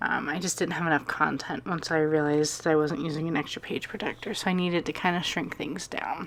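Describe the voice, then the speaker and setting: A woman talks at a fairly quick pace in a very deep, low pitch. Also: hardly any pauses. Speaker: scrapbooker. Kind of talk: casual crafting voiceover.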